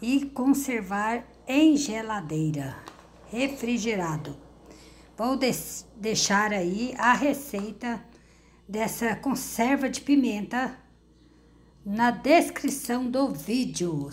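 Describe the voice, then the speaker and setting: Long, frequent pauses fill this woman's speech. She talks very slowly. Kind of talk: casual cooking tutorial. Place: kitchen. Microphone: phone near.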